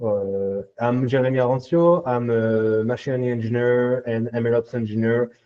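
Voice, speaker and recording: Speaking in a French accent, a man keeps a medium pitch and a moderate pace. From France. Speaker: machine learning engineer. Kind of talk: technical workshop talk. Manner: hesitant, many filler sounds.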